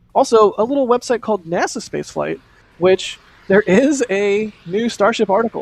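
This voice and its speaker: The recording of this man is dry and close with no echo, with a quiet background and ordinary pitch variation. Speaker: livestream host for spaceflight news. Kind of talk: live commentary. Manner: fast.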